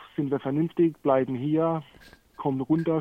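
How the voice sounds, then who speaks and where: A man delivers his lines with monotone, flat intonation. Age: 30s. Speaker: guest recovering from cannabis addiction. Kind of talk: casual conversation. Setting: remote call.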